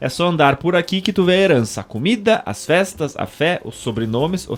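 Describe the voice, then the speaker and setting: With a Serra Gaúcha accent, a man talks at a moderate pace and very wide pitch swings. Music plays in the background. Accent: local Serra Gaúcha. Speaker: podcast host. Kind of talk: reading aloud; casual chat. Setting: radio studio.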